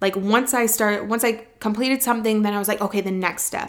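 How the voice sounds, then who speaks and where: A woman speaks at medium pitch in a plain, everyday voice. The intonation is fairly even, and the recording is very clean with a silent background. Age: 20s. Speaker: podcast host. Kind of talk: personal monologue about cancer diagnosis. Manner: casual, emotional storytelling.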